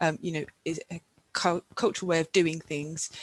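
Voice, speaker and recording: A woman's very deep, low voice at a fairly quick pace, with monotone, flat intonation. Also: dry, close sound with no echo. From England, Somerset. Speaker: conference host and moderator. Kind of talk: webinar Q&A moderation.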